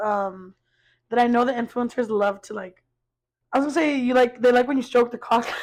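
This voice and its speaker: A woman speaks loudly at a moderate pace. Her high voice has lively intonation. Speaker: podcast co-host. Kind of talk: casual chat.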